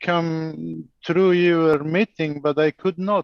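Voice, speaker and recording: A man with a non-native accent speaks at a high pitch. His pace is very slow and his intonation fairly even. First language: not English. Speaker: meeting participant. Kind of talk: casual chat. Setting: video call. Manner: halting.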